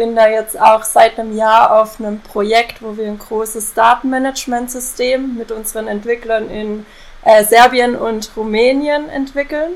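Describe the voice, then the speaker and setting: A woman with a fairly high voice speaks at a fairly slow pace. Her intonation is fairly even, and there is noticeable background noise. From southern Germany, Lake Constance area. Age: 20s. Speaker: IT consultant. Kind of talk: casual chat. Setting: remote call from home office.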